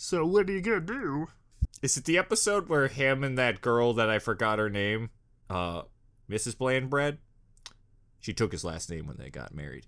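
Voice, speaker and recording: A man speaks with very wide pitch swings and big swings in loudness. Long, frequent pauses break up his delivery. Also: moderate pace. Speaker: reaction video host. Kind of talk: casual reaction commentary. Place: home room. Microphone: studio mic.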